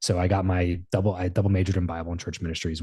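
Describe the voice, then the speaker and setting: Against a quiet background, a man with an American accent speaks in a very deep, low pitch with a dark, mellow, somewhat breathy tone. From Southern California. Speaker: entrepreneur and podcaster. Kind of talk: interview conversation. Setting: podcast interview.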